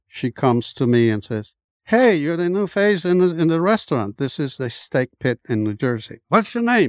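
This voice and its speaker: A man's lively intonation at a moderate pace, with a dry, close sound with no echo in a very clean recording with a silent background. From Colombia. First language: Spanish. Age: 70s. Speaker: immigrant and former basketball player. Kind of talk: casual interview storytelling. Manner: frequent hesitations and repeated words.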